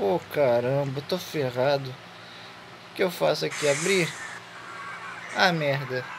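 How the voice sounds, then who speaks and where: A man speaks at a fairly high pitch and a fairly slow pace, with ordinary pitch variation and very even loudness. Long, frequent pauses break his speech, and noticeable background noise is present. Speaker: gaming youtuber. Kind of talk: let's play commentary. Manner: animated.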